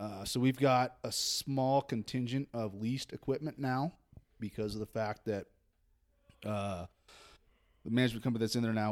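With an American accent, a man with an ordinary speaking voice talks at a moderate pace, his intonation fairly even. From Northern California (Redding). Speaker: golf course superintendent. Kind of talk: casual chat. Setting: rental house at a seminar.

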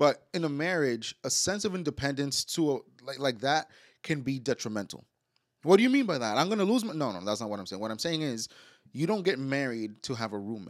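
A man's fairly high voice at a fairly quick pace, very wide pitch swings, very clean recording against a silent background. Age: 20s. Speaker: podcast co-host. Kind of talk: casual chat.

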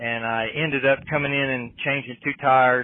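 A man's fairly high voice with an Appalachian accent, fairly even intonation and a moderate pace. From West Virginia. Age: 50s. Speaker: off-road racing driver. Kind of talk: casual chat. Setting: back of a trailer in a shop.

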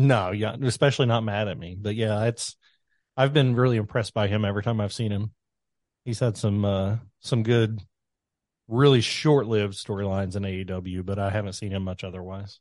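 A man with a Kentucky accent at a fairly quick pace, fairly low in pitch with fairly even intonation, over a quiet background. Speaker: podcast host. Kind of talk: casual chat.

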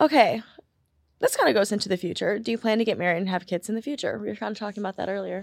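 Her pace very fast, a woman speaks with ordinary pitch variation. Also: medium pitch for a woman. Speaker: podcast guest, host's sister. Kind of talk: casual chat. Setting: studio. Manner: quiet.

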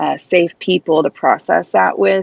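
A woman speaks with a Midwestern American accent. The sound is dry and close, with no echo. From US Midwest, Kansas City, Missouri. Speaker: author and cancer survivor advocate. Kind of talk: interview.

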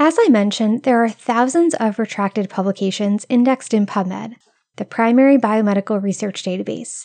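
A woman talks in a normal speaking voice at a fairly high pitch and moderate pace. Her intonation is lively, and the sound is dry and close with no echo. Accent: American. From US Northeast (Rhode Island). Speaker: health podcast host. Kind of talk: scripted solo podcast narration.

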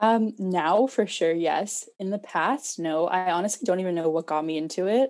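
This is an ordinary speaking voice at a moderate pace with hardly any pauses. Its pitch variation is ordinary. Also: woman, medium pitch for a woman. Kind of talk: casual chat.

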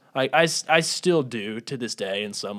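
A man with a Southern US accent, medium pitch and ordinary pitch variation. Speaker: podcast co-host. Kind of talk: casual chat. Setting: studio.

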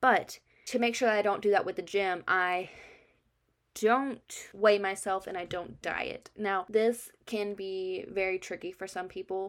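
In a plain, everyday voice, a woman at medium pitch speaks fairly slowly with fairly even intonation on a very clean recording with a silent background. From military family, moved around US and Germany. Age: 20s. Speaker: podcaster and college student. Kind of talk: casual monologue.

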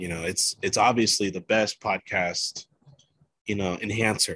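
A man's fairly low voice at a moderate pace, with ordinary pitch variation and a dry, close sound with no echo. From Nicaraguan heritage, US. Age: 30s. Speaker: podcast host. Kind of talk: casual solo podcast monologue. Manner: animated.

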